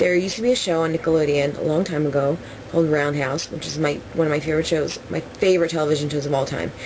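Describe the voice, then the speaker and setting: A woman with an American accent talks at a very fast pace in a very deep, low pitch with fairly even intonation. Audible room echo and noticeable background noise surround her voice. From New Jersey. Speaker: vlogger. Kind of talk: casual Q&A vlog. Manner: rambling with fillers.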